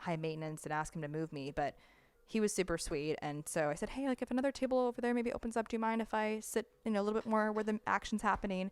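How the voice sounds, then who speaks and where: A woman with an American accent speaks at a very fast pace and medium pitch, her tone animated and her intonation lively. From United States. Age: 20s. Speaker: podcast host. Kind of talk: casual chat.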